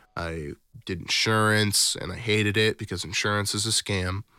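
Here a man speaks with an American accent at a fairly low pitch. His tone is bright and sharp, and his pace is moderate. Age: 20s. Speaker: musician and music producer. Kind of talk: casual chat. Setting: video call.

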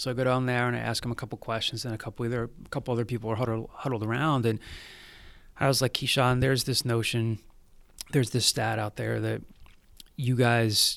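Flat, monotone intonation runs at a very fast pace. The recording is very clean, with a silent background. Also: man. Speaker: student media director and journalist. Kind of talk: interview.

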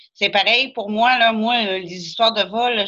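Monotone, flat intonation at a moderate pace. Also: woman. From Quebec, Beauce. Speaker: guest friend. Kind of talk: casual chat.

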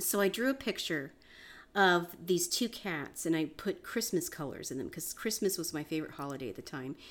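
A woman with an American accent and a plain, everyday voice talks at a fairly quick pace, her pitch fairly low and her intonation lively. The recording is very clean, with a silent background. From US South. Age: 50s. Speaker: artist. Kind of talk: casual chat.

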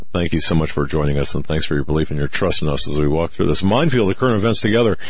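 A man speaks with a very deep, low voice and lively intonation. Noticeable background noise runs behind him. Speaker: radio host, investigative reporter. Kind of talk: casual talk radio chat. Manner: halting, many fillers and restarts.

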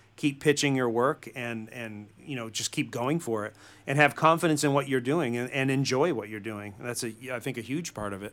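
A plain, everyday voice with an American accent comes through on a very clean recording with a silent background. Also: man. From US Northeast, central Massachusetts. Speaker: film and TV composer and songwriter. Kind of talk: interview conversation.

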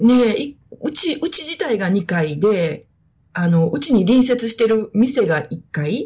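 A woman's somewhat breathy, dark and mellow voice sits fairly high in pitch and swings very widely, delivered at a very slow pace. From Osaka (Suita), Japan. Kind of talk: casual interview.

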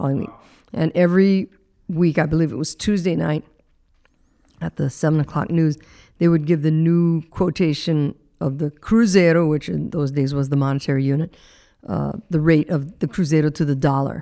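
The speaker has a dark, mellow tone and ordinary pitch variation, moving at a moderate pace with long, frequent pauses. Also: woman, very deep, low pitch for a woman. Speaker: radio host. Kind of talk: interview. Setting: studio.

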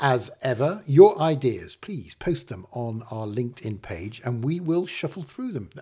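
Somewhat breathy speech at a moderate pace, with very wide pitch swings, big swings in loudness and hardly any pauses. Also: man. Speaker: podcast host. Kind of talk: casual chat.

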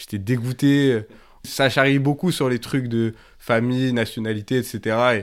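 In a very clean recording with a silent background, a man of medium pitch and fairly even intonation has an unremarkable speaking voice. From France, Grenoble. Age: 20s. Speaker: former activist. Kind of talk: testimony. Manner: casual with many fillers.

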